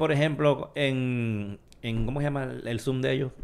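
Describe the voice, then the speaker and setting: Speaking at a fairly slow pace, a man has an ordinary speaking voice at medium pitch with ordinary pitch variation. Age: 40s. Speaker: tech podcast host. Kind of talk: casual chat.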